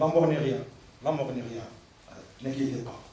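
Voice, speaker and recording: Through audible room echo and noticeable background noise, a man with a non-native accent speaks at a medium pitch with fairly even intonation. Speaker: imam and Arabic teacher. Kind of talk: religious talk read from notes. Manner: halting.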